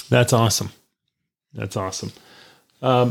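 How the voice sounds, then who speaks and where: A man speaks at a medium pitch with fairly even intonation, in an ordinary speaking voice. The recording is very clean, with a silent background. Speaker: podcast host. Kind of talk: interview.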